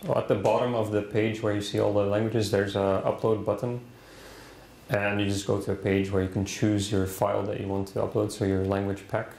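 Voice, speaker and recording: Moderate-paced speech in a Dutch accent, with light background noise and audible room echo. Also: man. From Netherlands. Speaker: DNN consultant, conference presenter. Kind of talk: conference presentation with demo. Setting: conference room with audience. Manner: halting, many fillers. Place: classroom.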